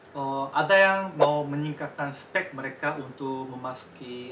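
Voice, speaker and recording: A man with a Korean accent and a fairly high pitch is heard over noticeable background noise and audible room echo. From Korean, raised in Indonesia. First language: Korean (speaking Indonesian). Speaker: Indonesian language teacher. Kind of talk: casual interview chat.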